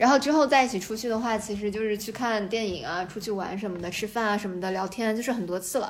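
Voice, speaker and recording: Noticeable background noise sits behind a woman with a fairly high pitch. She talks at a very fast pace with hardly any pauses and ordinary pitch variation. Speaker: game industry worker considering a PhD. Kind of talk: casual chat. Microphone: too far from the mic at first.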